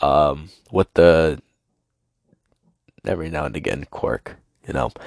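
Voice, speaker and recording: Speaking at a fairly slow pace, a man uses a very deep, low pitch with vocal fry and fairly even intonation. The sound is dry and close, with no echo. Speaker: podcast host. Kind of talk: casual monologue. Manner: halting, many fillers.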